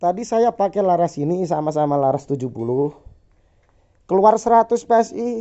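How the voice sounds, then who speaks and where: Speaking at a fairly quick pace, a man with an East Javanese accent uses a high pitch and very wide pitch swings. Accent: Javanese (East Java) Indonesian. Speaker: airgun workshop owner reviewing products. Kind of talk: casual product test demo.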